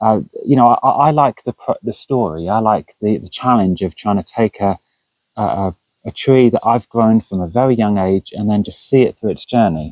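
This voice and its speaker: A man with a plain, everyday voice, fairly low pitch, ordinary pitch variation and a moderate pace, in dry sound with no echo against a quiet background. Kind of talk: casual vlog chat. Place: garden.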